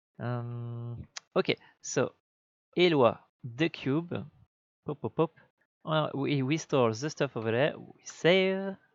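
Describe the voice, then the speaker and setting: Speaking at a very slow pace with long, frequent pauses and big swings in loudness, a man with a non-native accent uses a fairly high pitch and ordinary pitch variation, in a dry, close sound with no echo and a quiet background. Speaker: game developer. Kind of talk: tutorial. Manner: halting.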